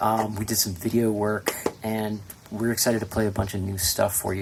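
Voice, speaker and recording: Noticeable background noise and audible room echo surround a man with a fairly low pitch. He talks at a moderate pace with fairly even intonation. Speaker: folk duo musician. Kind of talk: stage banter between songs. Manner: hesitant, many fillers.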